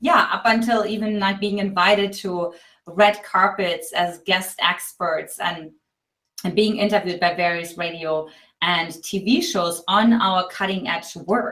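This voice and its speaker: In a German accent, this voice has a bright, sharp tone, a fairly slow pace and fairly even intonation. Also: woman, medium pitch for a woman. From East Germany. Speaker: relationship coach. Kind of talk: interview.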